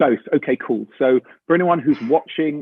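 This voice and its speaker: A man with an English accent speaks at a moderate pace. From England. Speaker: actor. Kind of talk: interview, casual storytelling. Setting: video call. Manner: animated.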